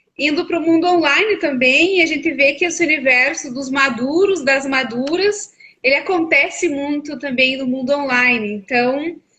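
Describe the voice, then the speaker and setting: Speech in a southern Brazilian accent flows with hardly any pauses and ordinary pitch variation. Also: woman, high pitch for a woman, moderate pace. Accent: gaúcho (southern Brazilian). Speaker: psychologist. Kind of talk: live stream conversation. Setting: online live stream.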